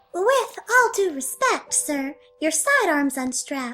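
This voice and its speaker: A put-on character voice comes through squeaky and high-pitched. It moves at a fairly slow pace with music in the background. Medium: short film.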